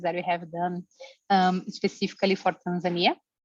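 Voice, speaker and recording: A woman's voice, dry and close with no echo. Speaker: environmental campaigner presenting survey data. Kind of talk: webinar presentation. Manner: hesitant, many fillers.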